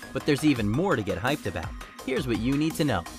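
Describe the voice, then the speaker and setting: A man with an American accent in an upbeat tone, with music in the background. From United States. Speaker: voice actor. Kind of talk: online entertainment video narration. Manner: upbeat, conversational.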